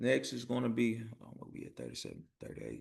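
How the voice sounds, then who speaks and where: A man talks with vocal fry. His tone is bright and sharp. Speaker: tax preparation trainer. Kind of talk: online training session. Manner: fast.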